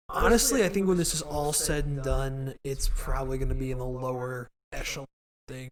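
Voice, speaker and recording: At a fairly quick pace, a man talks in a fairly high pitch with ordinary pitch variation. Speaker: podcast host. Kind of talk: casual chat.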